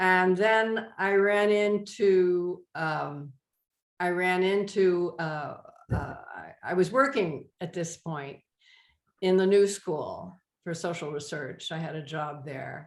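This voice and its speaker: At a very slow pace, a woman speaks in a medium pitch with ordinary pitch variation and big swings in loudness. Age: 80s+. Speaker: art class student, retired urban planner. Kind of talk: class introductions, casual.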